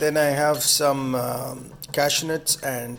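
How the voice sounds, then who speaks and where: Over noticeable background noise, a man speaks at a very slow pace with a fairly high pitch and fairly even intonation. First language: Tamil. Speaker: home cook video host. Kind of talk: cooking tutorial. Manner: halting, many fillers; casual.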